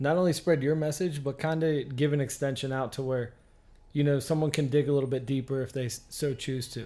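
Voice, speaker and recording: Fairly high in pitch, a man with a plain, everyday voice talks at a fairly quick pace with fairly even intonation. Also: very clean recording, silent background. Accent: American. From Pennsylvania, Oil City area. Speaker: podcast host. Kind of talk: casual interview chat.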